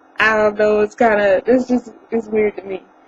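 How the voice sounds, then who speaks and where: A woman with a fairly high pitch speaks at a moderate pace. The sound is dry and close with no echo, with noticeable background noise. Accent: Southern US. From coastal North Carolina (Beaufort). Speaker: vlogger. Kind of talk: casual vlog monologue. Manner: smiling, cheerful.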